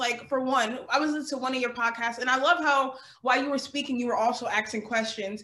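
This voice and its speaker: A woman speaks at a high pitch with an American accent, her tone bright and sharp. Her voice is raised and projected, with fairly even intonation. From eastern US (New Jersey). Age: 20s. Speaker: podcast host. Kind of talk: casual interview chat. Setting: video call.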